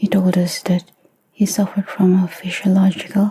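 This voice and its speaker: Going at a fairly slow pace, this voice is soft-spoken. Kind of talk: soft-spoken music reaction commentary to camera. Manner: soft-spoken, quiet.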